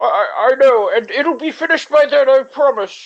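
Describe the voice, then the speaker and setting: A woman's put-on character voice, high in pitch and gruff. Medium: actual play. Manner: placating, apologetic.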